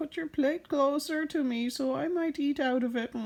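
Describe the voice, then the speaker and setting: In a put-on character voice, a speaker talks at a moderate pace with a high, croaky sound. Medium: read story. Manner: croaks ribbit between words.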